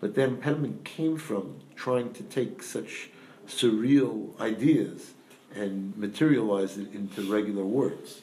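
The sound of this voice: A man's fairly low, dark and mellow voice at a fairly slow pace, with strong echo from the room. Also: ordinary pitch variation.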